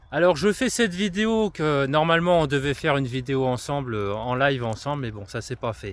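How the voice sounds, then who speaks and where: On a very clean recording with a silent background, a man with a fairly high voice talks at a fairly quick pace, hardly pausing as his pitch swings very widely. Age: 30s. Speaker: influencer and trail runner. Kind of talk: casual monologue to camera. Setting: outdoors walking on forest trails with dog. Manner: hesitant, many fillers.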